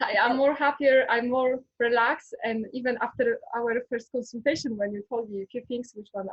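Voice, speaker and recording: Speaking with a Polish accent, a woman keeps a moderate pace with a fairly high pitch and ordinary pitch variation. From Poland. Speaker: former history teacher, ayurveda student. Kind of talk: interview testimony. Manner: halting.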